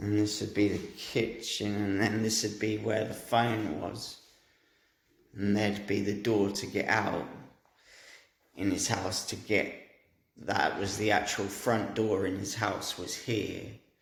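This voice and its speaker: With audible room echo, a man speaks at a fairly slow pace in a fairly low, monotone, flat voice, leaving long, frequent pauses. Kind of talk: monologue describing a dream. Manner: halting.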